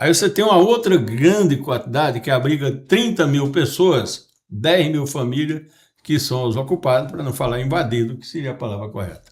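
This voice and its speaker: At a moderate pace, a man with a fairly high pitch speaks in a somewhat breathy voice with lively intonation and big swings in loudness. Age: 70s. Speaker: podcast host and businessman. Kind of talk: casual podcast conversation.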